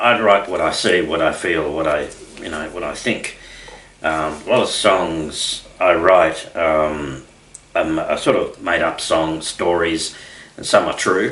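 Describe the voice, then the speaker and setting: A man talks fairly slowly, his voice carrying audible room echo along with noticeable background noise. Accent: Australian. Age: 60s. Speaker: country singer-songwriter. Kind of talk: radio interview. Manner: halting, many fillers.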